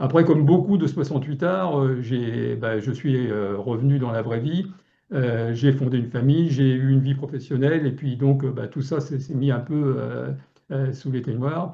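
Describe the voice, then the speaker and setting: Somewhat breathy and dark, mellow in tone, a man speaks at a fairly slow pace and medium pitch with ordinary pitch variation. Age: 70s. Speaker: local elected official. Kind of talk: webinar talk. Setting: online webinar. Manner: halting, many fillers and repetitions.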